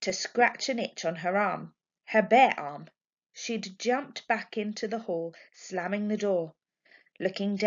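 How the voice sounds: Against a quiet background, a natural reading voice moves through ordinary shifts in pitch.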